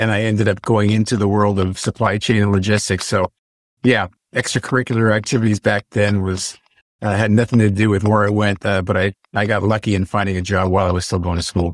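A very fast, monotone delivery with flat intonation and very even loudness, dry and close with no echo, on a very clean recording with a silent background. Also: man, fairly low pitch for a man. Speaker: alumni mentor, logistics professional. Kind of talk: panel discussion.

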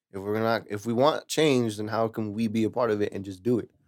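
With an American accent and a plain, everyday voice, a man speaks at a fairly quick pace and fairly low pitch, his intonation fairly even, in a very clean recording with a silent background. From California Central Valley, Lemoore. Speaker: musician and audio engineer. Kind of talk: casual chat.

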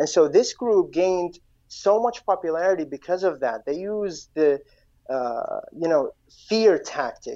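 In an Iraqi accent, a man with a high, dark and mellow voice speaks at a fairly slow pace over a quiet background. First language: Iraqi Arabic. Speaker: guest from Iraq. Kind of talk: interview. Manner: halting.

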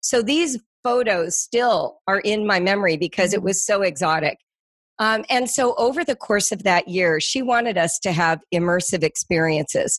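A woman with an American accent uses an ordinary speaking voice at a medium pitch, her intonation lively and her loudness very even. The sound is dry and close with no echo, against a quiet background. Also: moderate pace. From US West Coast, Los Angeles. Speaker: homeschooling educator. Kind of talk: interview.

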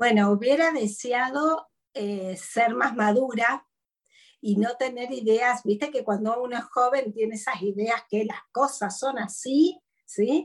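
A woman with an Argentine accent speaks at a very slow pace. Her pitch is high, with ordinary variation. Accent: Argentine Spanish (voseo). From Argentina, interior. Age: 50s. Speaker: psychologist and speaker. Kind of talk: interview conversation.

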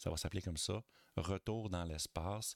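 With a Quebec accent, a man speaks at a very deep, low pitch in fairly even intonation. The sound is dry and close, with no echo. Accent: Québécois French. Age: 40s. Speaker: podcaster. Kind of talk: casual chat.

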